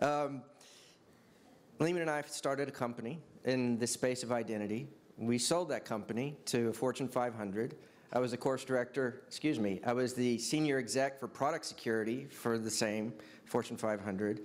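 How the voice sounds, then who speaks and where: Intonation stays fairly even in this voice with an American accent. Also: man, medium pitch for a man. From Texas. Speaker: tech company executive. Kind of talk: panel discussion.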